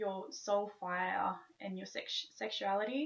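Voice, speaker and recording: The speaker is a woman. She has an Australian accent. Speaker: wellness vlogger. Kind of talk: tutorial. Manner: stiff, robotic. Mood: calm, gentle. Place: home room. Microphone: webcam.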